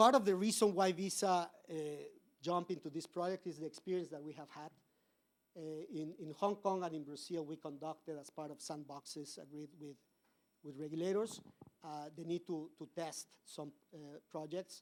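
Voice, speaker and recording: A man with a fairly high pitch at a moderate pace, with fairly even intonation, long, frequent pauses, and big swings in loudness. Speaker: corporate policy advisor, conference speaker. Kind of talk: conference talk. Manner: halting, many fillers and repetitions.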